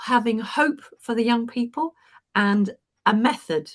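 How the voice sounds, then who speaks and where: Against a quiet background, a woman with a British accent speaks fairly slowly in a fairly high, somewhat breathy voice. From UK. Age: 70s. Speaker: retired teacher and coach. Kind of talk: panel discussion.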